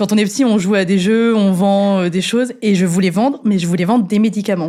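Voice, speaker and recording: Her pace fairly quick, a woman speaks at a medium pitch with very even loudness and fairly even intonation. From central France, Clermont-Ferrand. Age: 20s. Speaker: fire safety engineer. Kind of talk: podcast interview. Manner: hesitant, many fillers.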